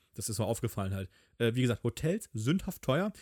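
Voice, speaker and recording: The sound is dry and close-up, without any echo. A man delivers his words very fast. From Hamburg, northern Germany. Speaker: podcast co-host. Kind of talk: casual chat.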